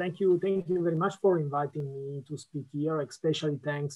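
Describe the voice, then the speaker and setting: A man speaks with an Italian accent at a fairly high pitch. His tone is dark and mellow. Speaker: policy analyst. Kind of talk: conference talk. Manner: halting.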